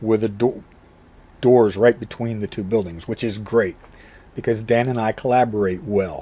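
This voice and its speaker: His tone is dark and mellow, his pitch medium. The man keeps a moderate pace. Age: 60s. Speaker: martial arts instructor. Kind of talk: vlog monologue. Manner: halting.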